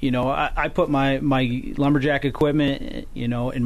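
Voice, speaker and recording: A man speaks at a fairly quick pace in an American accent, his pitch medium. Some room echo can be heard. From northern New York. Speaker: lumberjack competitor and forester. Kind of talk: radio interview. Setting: radio studio.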